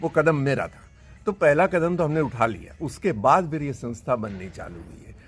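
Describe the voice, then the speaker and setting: This man's fairly high voice shows vocal fry, very wide pitch swings and big swings in loudness. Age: 70s. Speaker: long-distance pilgrim walker. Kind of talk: interview.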